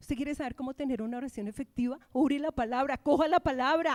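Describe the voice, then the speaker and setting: In a very clean recording with a silent background and a dry, close sound with no echo, a woman speaks at a high pitch with an animated tone and a moderate pace. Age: 60s. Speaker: pastor. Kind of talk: sermon.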